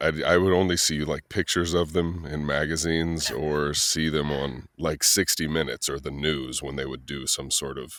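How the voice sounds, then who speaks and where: A man with an American accent speaks at a moderate pace in a very deep, low pitch, with vocal fry and monotone, flat intonation. The recording is very clean, with a silent background. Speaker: voice-over artist. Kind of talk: interview answer. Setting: podcast interview. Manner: storytelling, reflective.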